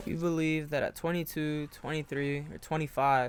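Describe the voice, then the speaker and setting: This is an ordinary speaking voice. The man talks at a fairly high pitch. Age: 20s. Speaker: self-improvement content creator. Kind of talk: motivational talk to camera.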